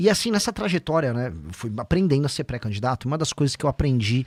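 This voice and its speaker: In a very clean recording with a silent background and a dry, close sound with no echo, a man speaks somewhat breathily at a fairly quick pace with very wide pitch swings. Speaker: politician, presidential pre-candidate. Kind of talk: podcast interview. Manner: fast.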